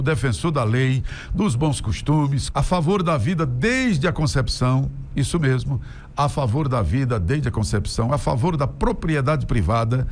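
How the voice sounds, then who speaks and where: A man speaks at a fairly slow pace with a medium pitch and lively intonation. His voice is somewhat breathy, and his loudness stays very even. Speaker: radio and TV announcer, opinion commentator. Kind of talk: opinion commentary to camera, political talk.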